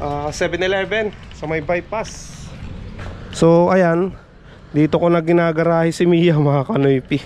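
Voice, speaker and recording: This man's voice is high-pitched, with fairly even intonation. He speaks at a fairly slow pace over noticeable background noise. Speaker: vlogger. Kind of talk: casual vlog talk.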